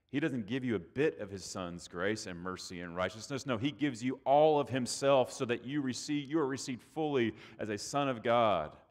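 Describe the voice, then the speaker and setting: This man has an American accent, a medium pitch and lively intonation at a moderate pace. The recording is very clean and the background silent. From Texas, outside Austin. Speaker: pastor. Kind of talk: sermon.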